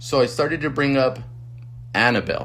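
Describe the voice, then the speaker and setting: At a moderate pace, a man talks while room echo is clearly audible. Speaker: podcast host. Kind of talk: casual chat. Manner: halting, stuttering.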